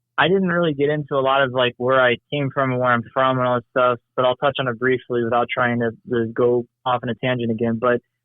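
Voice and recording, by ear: With an American accent, a man talks at a fast pace with few pauses and little pitch movement. The sound is dry and close, without echo. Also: medium pitch for a man.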